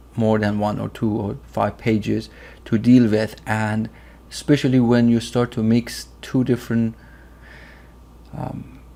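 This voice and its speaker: Speaking at a fairly slow pace in a Persian accent, a man keeps a medium pitch with fairly even intonation. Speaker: software tutorial youtuber. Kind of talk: tutorial. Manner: hesitant, many fillers.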